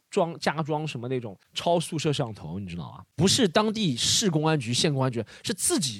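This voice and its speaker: Vocal fry from a man with a fairly high pitch, very wide pitch swings and a fairly quick pace. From Shanghai. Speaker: comedy podcast co-host. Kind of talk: casual chat.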